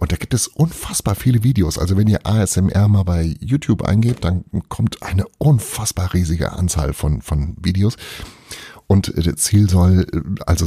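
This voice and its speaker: In a dry, close sound with no echo, a man talks at a fairly slow pace with a dark, mellow tone and vocal fry. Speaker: podcast host. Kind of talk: casual monologue. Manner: quiet reading voice for the book passage.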